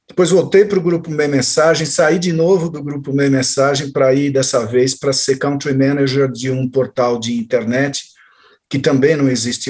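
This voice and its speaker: At a moderate pace, a man talks in a normal speaking voice at medium pitch, with ordinary pitch variation. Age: 60s. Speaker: journalist and marketing consultant. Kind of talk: interview.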